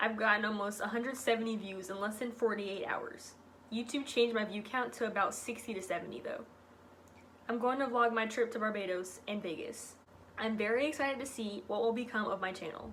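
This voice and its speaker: A put-on character voice with a robotic quality moves at a fairly quick pace over clear background noise. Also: woman, fairly high pitch for a woman. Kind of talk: reading from a script. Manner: flat, robotic monotone.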